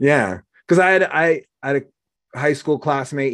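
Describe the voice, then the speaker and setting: A man with an American accent at a fairly slow pace. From Oregon. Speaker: podcast host. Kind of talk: casual interview chat.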